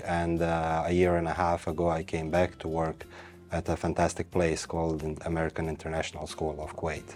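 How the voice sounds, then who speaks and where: A man speaks at a moderate pace with a very deep, low pitch. His tone is dark and mellow. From Bosnia and Herzegovina, Tuzla. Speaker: TV show guest, school employee. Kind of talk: TV interview. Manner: hesitant, with fillers.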